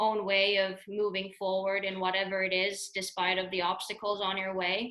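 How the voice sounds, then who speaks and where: A woman talks at a medium pitch and a moderate pace, her loudness very even. Her intonation is monotone and flat. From Finland. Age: 30s. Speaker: hockey coach. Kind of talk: webinar presentation. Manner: halting, many repetitions.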